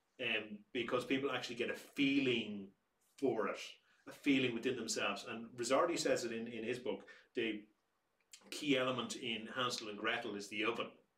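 With an Irish accent, a man talks in a bright, sharp tone as the room's echo comes through audibly. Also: fairly even intonation, fairly quick pace. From Ireland. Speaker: museum director; museum storyteller or director. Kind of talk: casual chat.

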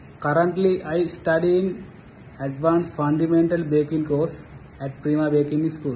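A man speaks in a Sri Lankan accent at a fairly high pitch. His intonation is monotone and flat over light background noise. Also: moderate pace. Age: 30s. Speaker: job applicant, baking student. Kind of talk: self-introduction. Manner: formal. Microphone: phone near.

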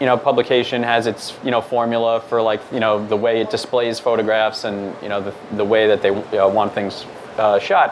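Against light background noise, a man in an American accent talks at a moderate pace with monotone, flat intonation. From New York, Staten Island; New York. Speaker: news photographer. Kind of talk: presentation. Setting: meetup with audience. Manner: many fillers (um, uh). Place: hall.

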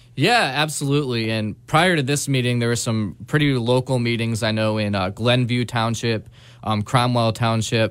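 A man talks at a moderate pace in an unremarkable speaking voice. His pitch is medium with ordinary variation, over a quiet background. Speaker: community organizer. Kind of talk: interview. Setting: studio. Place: studio.

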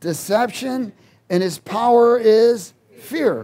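As he speaks, the man shows ordinary pitch variation. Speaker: preacher. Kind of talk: sermon. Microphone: headset.

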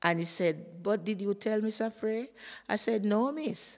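In a Jamaican accent, a woman speaks at a moderate pace. The background is quiet. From Jamaica, St Thomas. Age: old. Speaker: retired teacher. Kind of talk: interview storytelling; interview answer, personal storytelling. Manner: halting. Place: classroom. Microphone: studio mic.

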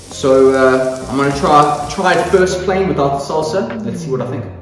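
With audible room echo and light background noise, a man talks fairly quickly with ordinary pitch variation. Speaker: cooking vlogger. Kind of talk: casual vlog chat. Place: kitchen.

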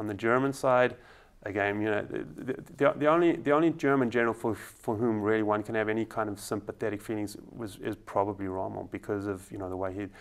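Talking at a very fast pace, a man uses a fairly low pitch with ordinary pitch variation. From South Africa, Johannesburg. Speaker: travel company owner and veterinarian; guest. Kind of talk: interview. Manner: halting, many repetitions. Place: studio.

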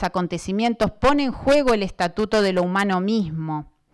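Against a quiet background, a woman with a Buenos Aires accent speaks at a medium pitch with lively intonation. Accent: Argentine Spanish (Buenos Aires province). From Argentina, Buenos Aires province interior. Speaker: professor. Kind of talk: lecture. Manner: partly reading from notes. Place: hall. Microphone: handheld.

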